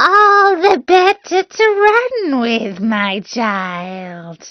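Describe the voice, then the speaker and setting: A woman does a put-on character voice at a high pitch with very wide pitch swings. She talks at a very slow pace. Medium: read story. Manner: sly, falsely sweet.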